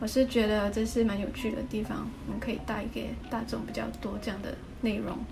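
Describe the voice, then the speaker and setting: Noticeable background noise and audible room echo surround a woman who speaks at a fairly quick pace. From Muar, Johor, Malaysia. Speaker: interior designer, podcast co-host. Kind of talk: casual chat.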